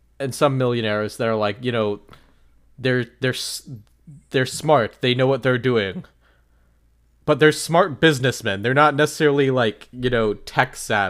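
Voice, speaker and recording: With long, frequent pauses, a man speaks at a moderate pace and medium pitch with ordinary pitch variation. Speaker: podcast host. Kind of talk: casual chat. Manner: jokey, talkative.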